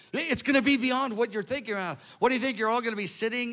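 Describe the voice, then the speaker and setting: A bright, sharp tone in a man's raised, projected voice. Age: 60s. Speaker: preacher. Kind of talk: sermon. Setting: stage with audience.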